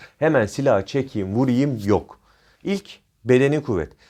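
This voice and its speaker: Lively intonation from a man on a very clean recording with a silent background. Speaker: private security trainer and YouTuber. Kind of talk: informal tutorial. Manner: improvised, with frequent fillers.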